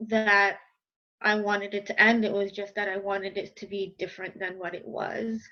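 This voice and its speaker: A woman speaks in a New York accent at a medium pitch. Her delivery is fairly slow, with monotone, flat intonation. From New York, Westchester. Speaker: life and dating coach. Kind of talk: interview. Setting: video call.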